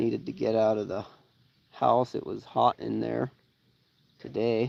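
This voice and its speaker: Relaxed in tone, a man speaks at a very slow pace. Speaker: homesteader and outdoors video host. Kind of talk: casual live stream chat. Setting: outdoors by a pond. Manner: relaxed, halting with fillers.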